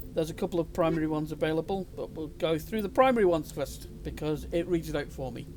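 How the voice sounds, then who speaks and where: A man rattles off his words at a very fast pace. Music can be heard in the background. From Britain. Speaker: gaming YouTuber. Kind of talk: gameplay commentary. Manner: casual.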